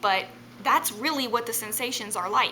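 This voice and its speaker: A woman talks fairly slowly while noticeable background noise plays beneath her. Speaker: vlogger sharing mental health experience. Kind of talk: personal vlog monologue. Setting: home, on a couch. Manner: rambling, hesitant with many ums.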